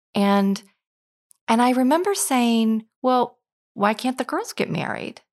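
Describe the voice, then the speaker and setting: In a very clean recording with a silent background, a woman with a high pitch and lively intonation speaks very slowly, leaving long, frequent pauses. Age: 50s. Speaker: retired pastor. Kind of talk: interview. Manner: halting.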